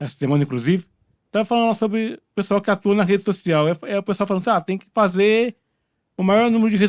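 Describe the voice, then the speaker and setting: At a very fast pace, a high-pitched man talks with ordinary pitch variation, the sound dry and close with no echo on a very clean recording with a silent background. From Minas Gerais, Brazil. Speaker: podcast host. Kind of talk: interview.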